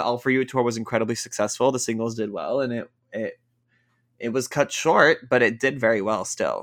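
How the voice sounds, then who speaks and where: Here a man with a Canadian accent talks at a very fast pace. His pitch varies in an ordinary way. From Canada, Toronto. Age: 20s. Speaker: podcast host, entertainment production coordinator. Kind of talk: casual chat. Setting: video call.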